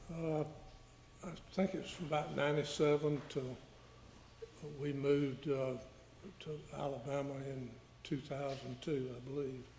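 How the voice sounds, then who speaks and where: Man with a Georgia accent, fairly high-pitched and fairly even in intonation, at a moderate pace with long, frequent pauses and audible room echo. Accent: US Southern (Georgia). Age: 70s. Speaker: witness, victim's father. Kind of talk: courtroom testimony. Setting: courtroom. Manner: halting.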